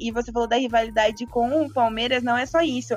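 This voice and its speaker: A woman's high voice at a moderate pace, with music in the background. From Santos coast, São Paulo state, Brazil. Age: 20s. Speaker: football content creator. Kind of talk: casual chat.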